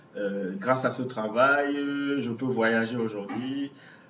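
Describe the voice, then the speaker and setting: Spoken at a very slow pace with ordinary pitch variation, the voice carries audible room echo and noticeable background noise. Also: man. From Cameroon, Douala. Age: 40s. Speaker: visual artist. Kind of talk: interview. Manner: halting.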